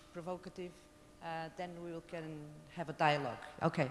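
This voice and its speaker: A woman with a Portuguese accent speaks at a fairly low pitch and a moderate pace. Her intonation is fairly even, with noticeable background noise around her. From Portugal. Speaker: lawyer, social innovation program head. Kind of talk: conference panel talk. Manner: halting.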